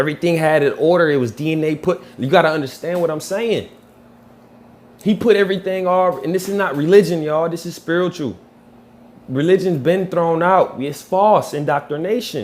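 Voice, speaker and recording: High-pitched, fairly quick speech from a man, with ordinary pitch variation and noticeable background noise. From Michigan, US. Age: 30s. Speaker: vlogger. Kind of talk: casual monologue. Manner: fast; animated.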